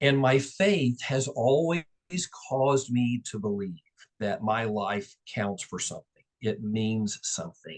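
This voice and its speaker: Lively intonation marks a man with an unremarkable speaking voice at a medium pitch, speaking at a fairly slow pace. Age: 60s. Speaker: real estate and mortgage business owner. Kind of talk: interview.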